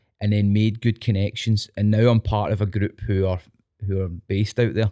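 This man has a dark, mellow tone and a Scottish accent, speaking at a fairly quick pace. The recording is very clean with a silent background and a dry, close sound with no echo. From Scotland. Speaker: teacher and dance instructor. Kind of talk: casual chat. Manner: animated.

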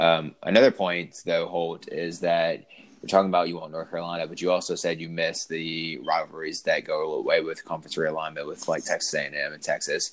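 A man speaks with hardly any pauses. His loudness swings widely. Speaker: sports podcast host. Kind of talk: casual chat. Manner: fast.

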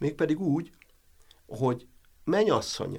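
A man's voice with vocal fry, a moderate pace and ordinary pitch variation. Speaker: professor. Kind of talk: interview. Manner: halting.

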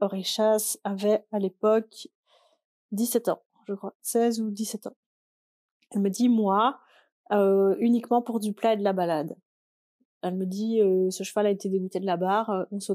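At a fairly slow pace with long, frequent pauses, a dark, mellow voice speaks with fairly even intonation on a very clean, dry, close recording with a silent background and no echo. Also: woman, medium pitch for a woman. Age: 20s. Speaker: podcaster and amateur horse rider. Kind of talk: casual solo chat.

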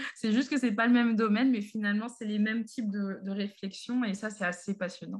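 With a somewhat breathy, fairly high voice, a woman talks at a fairly quick pace with fairly even intonation and hardly any pauses. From Paris, France. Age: 30s. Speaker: association co-founder, chemist. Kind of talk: podcast interview. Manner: hesitant, many fillers.

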